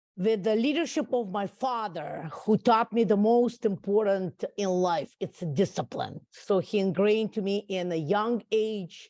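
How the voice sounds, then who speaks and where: A woman with a Russian accent speaks at a very slow pace in a medium pitch, her tone dark and mellow, on a very clean recording with a silent background. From Russia, raised abroad (Central Europe, UAE). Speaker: entrepreneur. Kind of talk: interview. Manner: halting, many fillers.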